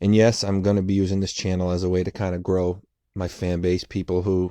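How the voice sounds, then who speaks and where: In an American accent, a man speaks at a moderate pace with a very deep, low pitch and a dark, mellow tone, the sound dry and close with no echo against a quiet background. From Boston, US. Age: 30s. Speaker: writer and storyteller youtuber. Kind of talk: casual storytime monologue. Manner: unscripted, hesitant with fillers and repetitions.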